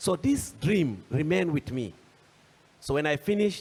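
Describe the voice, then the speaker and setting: A man with a Nigerian accent speaks at a fairly high pitch. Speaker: panelist, agricultural entrepreneur. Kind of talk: panel discussion. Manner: halting, many fillers and restarts.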